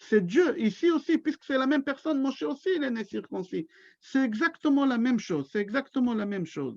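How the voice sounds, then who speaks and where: Against a quiet background, a man with a Hebrew accent speaks at an extremely high pitch with lively intonation, the sound dry and close with no echo. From Israel. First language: Hebrew (speaking French). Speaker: rabbi. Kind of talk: religious lecture. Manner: slow.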